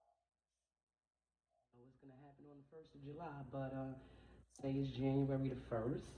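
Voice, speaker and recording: A quiet woman's voice, very deep and low in pitch, with a dark, mellow tone, flat monotone delivery, big swings in loudness, long and frequent pauses, a moderate pace, and audible room echo. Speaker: tarot reader. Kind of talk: tarot reading. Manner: trying to speak louder.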